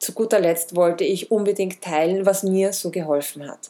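With a normal speaking voice, a woman talks at medium pitch and a moderate pace. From Austria, Vienna. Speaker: wellness podcast host. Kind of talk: podcast monologue introduction.

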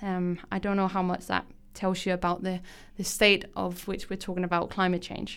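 A woman talks with a Danish accent. The recording is very clean, with a silent background. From Denmark. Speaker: podcast host. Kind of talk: radio show presentation. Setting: radio studio. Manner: frequent filler words, casual.

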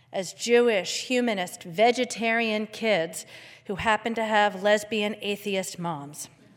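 Here is a woman with a plain, everyday voice and an American accent. Her pitch is fairly high, with ordinary pitch variation. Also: fairly slow pace. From Philadelphia. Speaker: congregation member and parent. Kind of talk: prepared talk at a service.

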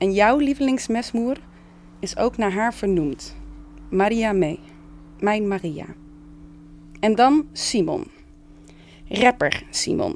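A woman's very slow speech, with long, frequent pauses and very wide pitch swings. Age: 30s. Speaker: theatre maker and musician. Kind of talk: casual reflective talk. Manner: halting, many fillers.

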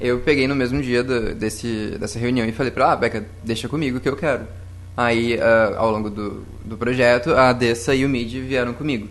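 A man with a normal speaking voice talks at a fairly quick pace, medium in pitch, with fairly even intonation. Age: 20s. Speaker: scout volunteer. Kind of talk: panel discussion. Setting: studio.

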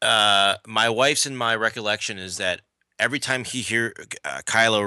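A man talks at a moderate pace with ordinary pitch variation and a bright, sharp tone. The recording is very clean, with a silent background. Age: middle-aged. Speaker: podcast co-host. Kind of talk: casual chat.

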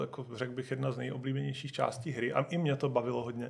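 The man's voice is medium in pitch with vocal fry. He speaks at a fairly quick pace. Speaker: video game studio founder. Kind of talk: interview.

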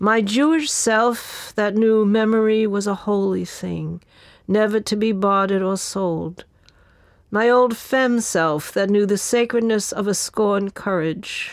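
Speaking at a fairly slow pace with a New York accent, a woman is heard on a very clean recording with a silent background. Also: medium pitch for a woman, ordinary pitch variation. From New York, the Bronx. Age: 70s. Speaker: writer and activist. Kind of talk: reading aloud.

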